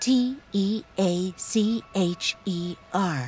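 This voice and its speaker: Music plays behind a woman with a fairly high pitch. Her voice makes very wide pitch swings. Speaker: audio describer. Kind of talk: audio description narration.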